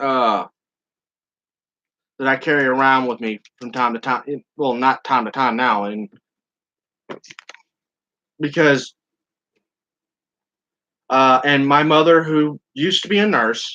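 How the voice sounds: A man at medium pitch, slow pace with long, frequent pauses, a bright, sharp tone and ordinary pitch variation.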